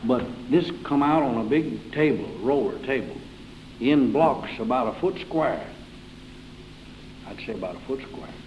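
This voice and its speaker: A man with an Appalachian accent speaks at a medium pitch with lively intonation over noticeable background noise. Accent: Southern Appalachian American. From Carroll County, Virginia, US. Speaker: old-time country musician. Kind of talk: interview answer.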